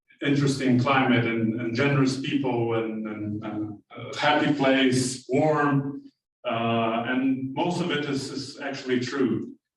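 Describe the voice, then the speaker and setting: A man's medium-pitched speech comes with audible room echo. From Brazil. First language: Portuguese. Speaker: architect. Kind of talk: lecture. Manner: halting.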